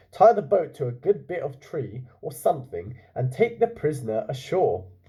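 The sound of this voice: A man does a put-on character voice, fairly high-pitched with big pitch swings. His tone is dark and mellow, with a husky, rough edge. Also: moderate pace.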